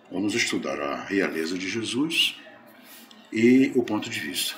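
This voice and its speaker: A man's voice comes through with noticeable background noise and an audible echo from the room. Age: 70s. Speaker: spiritist lecturer. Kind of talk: religious lecture.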